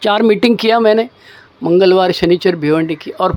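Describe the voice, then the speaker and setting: Over noticeable background noise, a man with a Mumbai accent speaks in a high voice with lively intonation. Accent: Mumbai-style Hindi. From Maharashtra, India. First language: Marathi (speaking Hindi). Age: 60s. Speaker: recovering alcoholic sharing story. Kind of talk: testimony. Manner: casual, colloquial.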